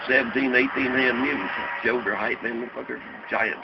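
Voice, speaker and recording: A man with a Southern US accent talks at a fairly quick pace and medium pitch. Noticeable background noise accompanies him. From Ripley, Tennessee. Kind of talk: interview answer. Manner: casual, profane storytelling.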